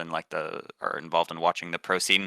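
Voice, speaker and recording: In a very clean recording with a silent background, a man with an American accent talks at a moderate pace in a bright, sharp tone, the sound dry and close with no echo. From California, US. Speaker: esports tournament organizer, student. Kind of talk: podcast interview. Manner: casual, filler-heavy.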